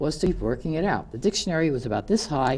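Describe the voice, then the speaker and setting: A woman in a New York accent, with a very deep, low pitch, dark, mellow tone, very wide pitch swings and a fairly quick pace. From New York City (Queens). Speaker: community TV show host. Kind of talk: prepared speech. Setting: studio.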